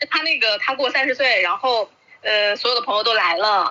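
A woman with an unremarkable speaking voice, ordinary pitch variation and a moderate pace. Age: 30s. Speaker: video maker. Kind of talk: casual chat.

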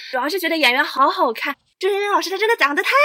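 Projecting her voice, a woman talks very fast with very wide pitch swings. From Chaozhou, Guangdong. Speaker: Chinese opera enthusiast guest. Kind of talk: casual chat.

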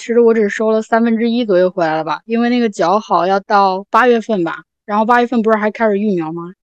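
A woman with a normal speaking voice talks at a fairly quick pace and a fairly high pitch, with ordinary pitch variation. The sound is dry and close, with no echo. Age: young. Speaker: small farmer living alone in a village. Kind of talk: casual podcast conversation.

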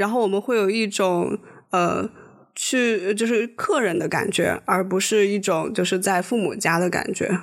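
A woman speaks at a fairly slow pace in a medium pitch. Her voice has vocal fry. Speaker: podcast co-host. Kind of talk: casual chat.

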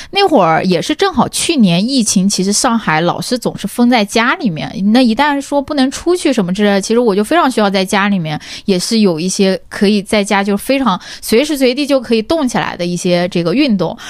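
Fairly high in pitch, a woman talks at a fairly quick pace with hardly any pauses and very wide pitch swings. Noticeable background noise runs underneath. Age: 20s. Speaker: tech company employee, wellness enthusiast. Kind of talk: casual chat.

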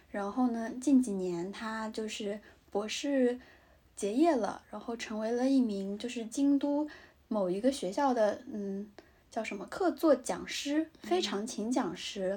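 Speaking at a fairly slow pace, a woman has a fairly high pitch, a dark, mellow tone and ordinary pitch variation. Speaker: podcast co-host, graduate student in Japan. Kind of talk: casual chat. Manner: halting with many fillers.

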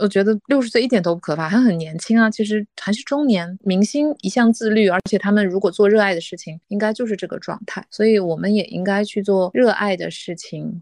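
Speaking at a fairly quick pace with hardly any pauses, a woman has an ordinary speaking voice at medium pitch with ordinary pitch variation, in a dry, close sound with no echo. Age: 30s. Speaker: office worker. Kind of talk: casual chat.

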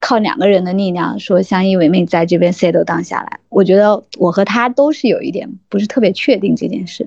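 Speaking at a fairly quick pace, a woman uses a medium pitch with ordinary pitch variation and a dark, mellow tone. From Yangzhou, Jiangsu, China. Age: 30s. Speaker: purchasing professional. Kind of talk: casual interview. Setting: online call.

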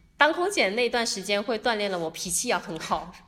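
An unremarkable speaking voice at a moderate pace with lively intonation. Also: woman. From Guangdong, Zhuhai. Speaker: entrepreneur and international volunteer. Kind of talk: casual interview chat.

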